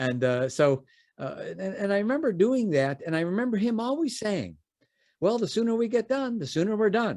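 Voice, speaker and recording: This man speaks with an American accent at a fairly quick pace. His pitch swings very widely. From US Midwest, Chicago. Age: 60s. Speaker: business founder and educator. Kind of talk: podcast interview, storytelling. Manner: halting, many fillers and repeats.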